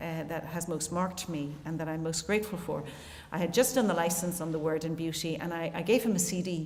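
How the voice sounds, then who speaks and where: A woman with an Irish accent talks at a fairly quick pace, with a fairly low pitch and ordinary pitch variation. Audible room echo and noticeable background noise surround her voice. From Ireland. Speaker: theologian and musician, keynote speaker. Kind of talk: conference keynote talk. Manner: fast.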